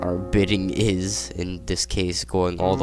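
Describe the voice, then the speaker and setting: Music plays in the background as a man speaks in a very deep, low pitch. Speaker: gaming theory YouTuber. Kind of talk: video essay narration. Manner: casual, hesitant with fillers.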